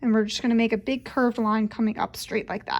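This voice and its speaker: Fairly even intonation from a woman at a fairly high pitch. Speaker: children's librarian. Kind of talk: tutorial. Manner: casual, friendly; fast.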